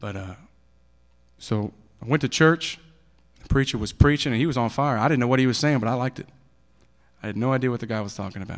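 A man's medium-pitched voice in an East Texas accent, very fast pace, long and frequent pauses, ordinary pitch variation, big swings in loudness, and a very clean recording with a silent background. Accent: East Texas Southern American. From Texas (Bowie County, near Texarkana). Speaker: recovering addict sharing his testimony. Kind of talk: testimony. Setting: church service in school auditorium.

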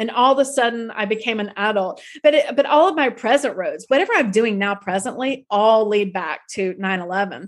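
Against a quiet background, a woman with an American accent speaks at a moderate pace with lively intonation. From US South, North Florida (Tallahassee). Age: 50s. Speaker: tour guide and author. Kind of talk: interview testimony.

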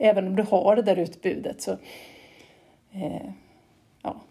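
A woman, somewhat breathy, with a dark, mellow tone and a fairly slow pace. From Sweden, Gotland. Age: 40s. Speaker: cement plant manager, geologist. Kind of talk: interview. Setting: remote call. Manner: halting, many repetitions.

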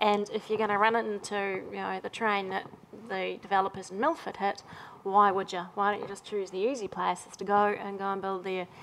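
A woman talks at a fairly quick pace in a New Zealand accent. Her medium pitch stays monotone and flat. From Auckland, New Zealand. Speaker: property developer. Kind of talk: panel discussion. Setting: stage with audience.

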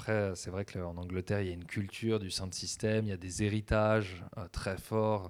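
A man speaks in a fairly low pitch with monotone, flat intonation at a moderate pace. The recording is very clean with a silent background. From French provinces. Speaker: DJ and music producer. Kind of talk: long-form interview.

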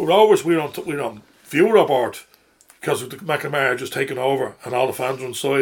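This man talks at a very fast pace. He has a Dublin accent. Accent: Dublin Irish. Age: 50s. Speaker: football supporter. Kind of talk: casual chat. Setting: studio.

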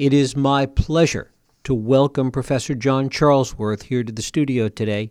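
This man has a plain, everyday voice, speaking at a moderate pace with ordinary pitch variation. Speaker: college radio host. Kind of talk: interview. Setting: studio.

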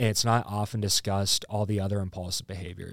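A man talks with a Midwestern American accent and monotone, flat intonation. The recording is very clean, with a silent background. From Iowa, Burlington. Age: 20s. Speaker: comedian. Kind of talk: casual chat.

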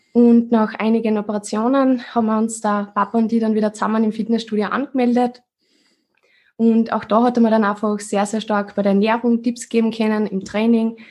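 Somewhat breathy and fairly high in pitch, a woman speaks at a fairly quick pace with flat, monotone intonation. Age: 20s. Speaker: fitness coach. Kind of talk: casual chat.

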